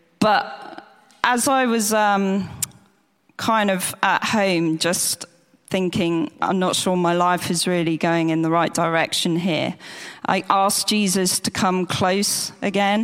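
Fairly even in intonation, a woman talks at a very slow pace. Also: medium pitch for a woman, very even loudness. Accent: English. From England, near the church. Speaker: church member giving testimony. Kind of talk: testimony. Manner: halting.

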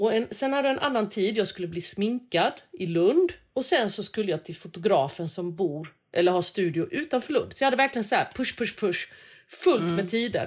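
Her pitch fairly high and swinging very widely, a woman speaks with hardly any pauses in a very clean recording with a silent background. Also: moderate pace. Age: 40s. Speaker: food podcast co-host. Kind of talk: casual chat.

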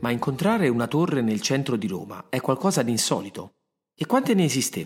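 A man speaks at a medium pitch with very wide pitch swings. His pace is very fast. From Rome, Italy. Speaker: writer and podcast narrator, former actor. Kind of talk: scripted storytelling narration.

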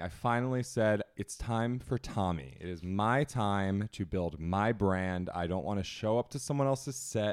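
Here is a man with a normal speaking voice, fairly low in pitch and lively in intonation. The recording is very clean, with a silent background. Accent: American. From New Jersey. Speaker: TV lifestyle host and social media influencer. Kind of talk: casual interview chat. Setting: home apartment recording.

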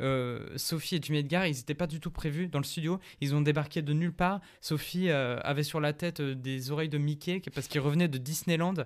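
With hardly any pauses, a man delivers a plain, everyday voice at a fairly quick pace, his pitch fairly high and his intonation fairly even. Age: 20s. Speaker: musician. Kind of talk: casual chat.

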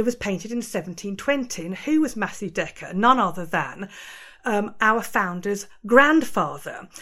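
With lively intonation and a medium pitch, a woman speaks in an ordinary speaking voice. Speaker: museum curator. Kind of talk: interview.

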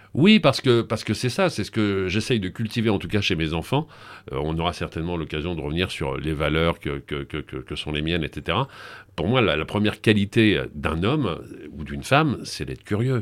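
This man talks at a moderate pace in a very deep, low voice with vocal fry and lively intonation. The recording is very clean, with a silent background. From Paris region (grew up in suburbs; born in Brittany). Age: 60s. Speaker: TV presenter. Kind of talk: interview.

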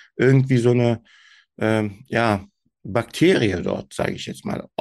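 A fairly slow delivery in a Turkish accent with ordinary pitch variation, over a quiet background. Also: man. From Germany, Turkish family. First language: Turkish (speaking German). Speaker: SEO manager, podcast guest. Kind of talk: interview, casual chat. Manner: hesitant, many fillers.

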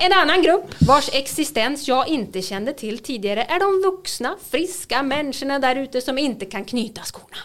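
A high-pitched woman's voice at a moderate pace, with lively intonation and hardly any pauses. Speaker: podcast host. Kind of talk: casual chat.

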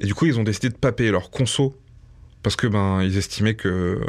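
In an ordinary speaking voice with ordinary pitch variation, a man talks at a fairly low pitch. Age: 30s. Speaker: YouTuber. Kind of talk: testimony.

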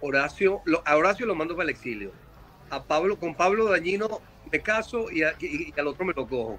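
With noticeable background noise, a high-pitched man speaks at a fairly quick pace, his pitch swinging very widely. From Venezuela, Caracas. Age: 50s. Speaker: rock singer. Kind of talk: casual interview. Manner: halting, many repetitions.

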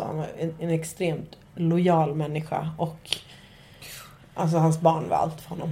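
A woman speaks at a moderate pace in a very deep, low pitch with monotone, flat intonation. Noticeable background noise and audible room echo surround her voice. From Nacka, Stockholm, Sweden. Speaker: podcast host. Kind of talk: casual chat.

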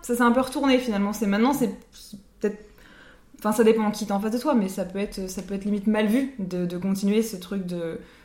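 A woman's fairly high voice at a very fast pace, with ordinary pitch variation, long, frequent pauses and noticeable background noise. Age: 20s. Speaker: podcast co-host. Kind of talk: casual chat.

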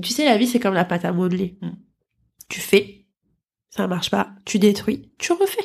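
Animated and somewhat breathy, a woman at medium pitch speaks with ordinary pitch variation and long, frequent pauses. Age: 20s. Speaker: model school founder, former model. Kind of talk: casual chat.

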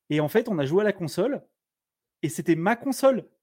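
In a very clean recording with a silent background, a man with a dark, mellow tone and a high pitch speaks at a moderate pace with lively intonation. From France, Blois (Loir-et-Cher). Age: 40s. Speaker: tech streamer. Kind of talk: casual chat. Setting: live stream.

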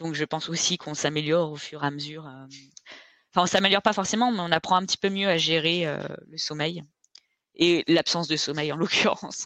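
Speaking at a fairly low pitch, a woman moves at a fairly quick pace with fairly even intonation and long, frequent pauses. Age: 30s. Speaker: ultra-trail runner. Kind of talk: casual interview.

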